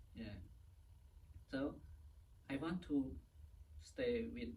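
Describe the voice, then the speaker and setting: A man speaks with a Cambodian accent. Audible room echo surrounds his voice. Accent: Cambodian (Khmer). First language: Khmer. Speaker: Buddhist monk. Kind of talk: interview. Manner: halting.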